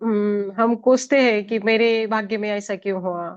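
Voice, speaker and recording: A woman with a Marathi accent speaks at a fairly high pitch. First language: Marathi (speaking Hindi). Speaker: spiritual master sharing life story. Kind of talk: testimony. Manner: halting.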